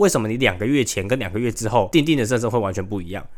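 A man with a medium pitch talks very fast, his intonation lively. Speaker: podcast host, university student. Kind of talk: solo monologue podcast. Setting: recorded late at night at home.

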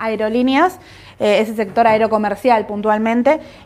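At a moderate pace, a woman talks in a fairly high pitch with a normal speaking voice. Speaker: market analyst co-host. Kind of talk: market commentary livestream.

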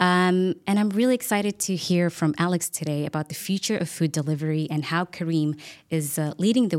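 Here a woman with an ordinary speaking voice talks at a moderate pace, her pitch fairly low with ordinary pitch variation. The recording is very clean, with a silent background. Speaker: podcast host. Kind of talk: interview podcast.

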